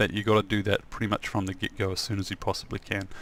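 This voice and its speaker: Talking at a very fast pace, a man with a New Zealand accent keeps a monotone, flat intonation at a fairly low pitch. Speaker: software developer and trainer. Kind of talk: tutorial. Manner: soft-spoken; halting.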